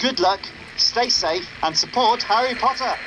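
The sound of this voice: Over faint music in the background, a man performs a put-on character voice at an extremely high pitch, with a bright, sharp tone, lively intonation and a fairly slow pace.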